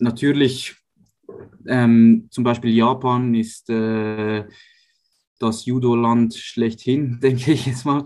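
A man's medium-pitched, monotone voice with flat intonation, at a very slow pace broken by long, frequent pauses. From Switzerland, Uster near Zurich. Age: 20s. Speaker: professional judo athlete. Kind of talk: interview. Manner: hesitant with fillers.

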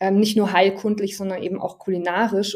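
The woman's voice has a dark, mellow tone. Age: 30s. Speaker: herbal educator. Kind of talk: interview.

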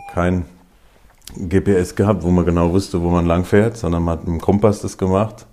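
Over noticeable background noise, a man with a very deep, low voice speaks with fairly even intonation. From Hesse, Germany (Groß-Bieberau near Darmstadt). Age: 50s. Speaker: imam. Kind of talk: interview.

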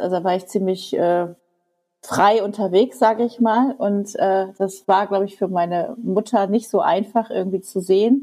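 Speaking at a moderate pace, a woman uses a dark, mellow tone at medium pitch with fairly even intonation. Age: 50s. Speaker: teacher. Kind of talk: interview. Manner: halting.

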